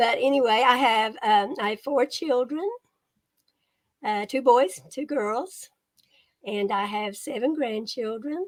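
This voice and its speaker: With a Kentucky accent, a woman speaks at a fairly slow pace in a high pitch with ordinary variation, pausing long and often. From Eastern Kentucky, Appalachia. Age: 70s. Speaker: retired copy editor and author. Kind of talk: interview. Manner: casual, hesitant fillers.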